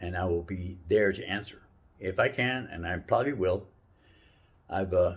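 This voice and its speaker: With long, frequent pauses, a man speaks at a moderate pace in a very deep, low, somewhat breathy voice. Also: ordinary pitch variation. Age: 60s. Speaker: life advice giver. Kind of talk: casual talk. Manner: halting.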